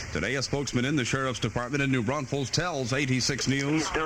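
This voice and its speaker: Medium-pitched male speech amid noticeable background noise. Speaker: radio news anchor. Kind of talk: radio newscast. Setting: AM radio studio.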